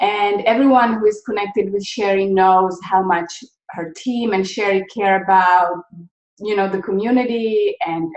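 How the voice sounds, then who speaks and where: With a slight Czech accent, a woman talks at a medium pitch with fairly even intonation. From Czechoslovakia. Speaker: nonprofit founder. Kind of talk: interview.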